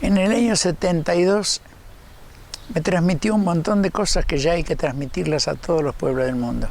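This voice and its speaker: Over noticeable background noise, a man with a high pitch speaks at a moderate pace, with ordinary pitch variation and very even loudness. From Argentina, Buenos Aires province (Médanos). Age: 80s+. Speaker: ufologist and prophecy speaker. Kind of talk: interview testimony.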